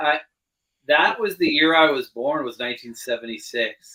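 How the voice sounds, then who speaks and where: Using a normal speaking voice, a man with a Canadian accent talks at a moderate pace with ordinary pitch variation. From western Canada (British Columbia). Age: 40s. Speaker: podcast co-host. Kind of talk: casual chat.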